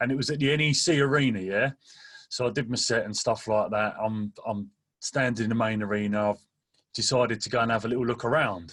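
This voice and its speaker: The speaker is a man with a medium-pitched voice. He talks fairly quickly with ordinary pitch variation. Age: 30s. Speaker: drum and bass MC and DJ. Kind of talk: casual chat. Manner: animated.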